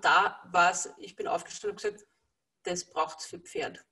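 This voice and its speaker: The background is quiet. A woman is speaking. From Lower Austria. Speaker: energy healer working with horses; interviewee. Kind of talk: interview. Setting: video call. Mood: calm, warm. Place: home room. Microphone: video call.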